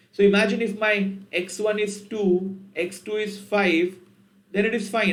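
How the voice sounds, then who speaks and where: In an Indian accent, a man with a high-pitched voice speaks with fairly even intonation amid audible room echo. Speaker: programming teacher. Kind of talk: tutorial.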